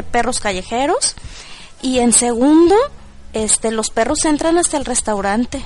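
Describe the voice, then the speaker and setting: A woman is speaking. Her intonation is lively. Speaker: Mexican expatriate. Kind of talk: personal testimony.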